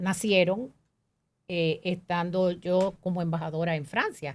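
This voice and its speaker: A woman at a medium pitch, speaking very slowly, on a very clean recording with a silent background. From Dominican Republic, Manzanillo Bay area. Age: 70s. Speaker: diplomat, ambassador. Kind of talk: interview.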